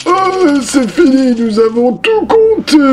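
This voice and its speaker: A man's put-on character voice, extremely high in pitch with very wide pitch swings, at a fairly slow pace over light background noise. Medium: read story. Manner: slow, hesitant, with many "euh".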